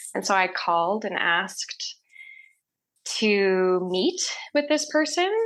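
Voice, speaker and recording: A woman with a Canadian prairie accent speaks at medium pitch against a quiet background. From Canada, Saskatchewan (Saskatoon). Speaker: holistic healer, reflexologist and reiki practitioner. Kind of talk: casual interview chat. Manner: frequent fillers and self-repeats.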